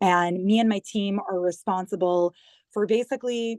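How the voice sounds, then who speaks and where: A woman with an American accent has a normal speaking voice at a medium pitch. Her intonation is fairly even, and the background is quiet. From US, New York. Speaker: government digital communications head. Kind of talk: interview.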